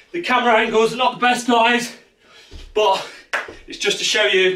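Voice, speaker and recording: A raised, projected voice with ordinary pitch variation moves at a moderate pace over noticeable background noise. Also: man. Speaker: fitness coach. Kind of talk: workout instruction. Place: home room. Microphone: camera far.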